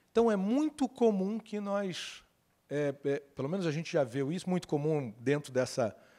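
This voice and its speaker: In a Carioca accent, a man with a dark, mellow tone speaks at a high pitch with lively intonation, recorded very cleanly against a silent background. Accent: carioca (Rio de Janeiro) Portuguese. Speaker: lawyer giving a conference talk. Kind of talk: conference talk. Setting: stage with audience. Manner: conversational.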